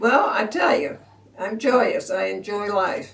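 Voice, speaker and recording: A woman's voice comes with audible room echo over noticeable background noise. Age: 80s+. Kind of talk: casual chat.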